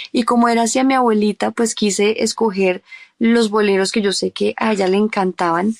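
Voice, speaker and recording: A woman's fairly high voice at a moderate pace, with fairly even intonation, very even loudness and a dry, close sound with no echo. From Colombia, Bogotá. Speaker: singer-songwriter. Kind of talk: interview.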